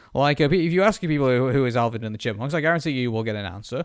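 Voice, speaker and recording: Very fast, lively man's speech with a British accent. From Britain. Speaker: podcast co-host. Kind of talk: casual chat. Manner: halting, many fillers.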